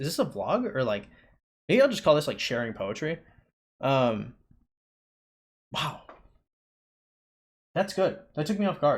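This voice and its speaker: Fairly quick and somewhat breathy, a man talks at a fairly high pitch with very wide pitch swings. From Panamanian family, raised in the United States. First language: Spanish. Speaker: poet and vlogger. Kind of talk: casual vlog monologue. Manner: halting, many fillers.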